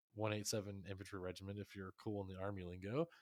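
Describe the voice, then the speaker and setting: Recorded very cleanly against a silent background, a man in an ordinary speaking voice talks at a fairly quick pace with a fairly low pitch. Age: 30s. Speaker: podcast co-host and soldier. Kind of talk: casual chat.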